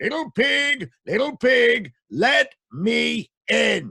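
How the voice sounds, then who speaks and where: A man's booming, put-on character voice at a very slow pace. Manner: menacing, demanding.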